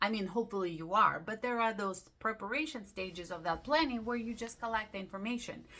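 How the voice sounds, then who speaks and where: A woman with a non-native accent talks at a very fast pace with hardly any pauses. Her bright, sharp voice has ordinary pitch variation. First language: not English. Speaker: lifestyle vlogger. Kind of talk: casual talk to camera. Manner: upbeat; halting.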